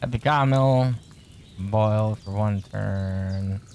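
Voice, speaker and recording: Mumbling at a very slow pace, a man speaks in a fairly low pitch with ordinary pitch variation. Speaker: gaming streamer. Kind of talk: live gameplay commentary. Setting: live stream.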